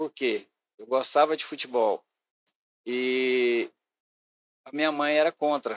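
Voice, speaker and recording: In a dry, close sound with no echo, a man with a fairly high voice speaks very slowly with fairly even intonation, big swings in loudness and long, frequent pauses. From Goiás, Brazil (Goiânia area). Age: 60s. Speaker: sports and youth secretary. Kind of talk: podcast interview, life story.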